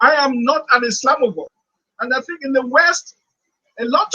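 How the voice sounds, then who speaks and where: This man's voice is pitched extremely high. He speaks at a moderate pace. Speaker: economist and former central banker. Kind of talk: panel speech. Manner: loud.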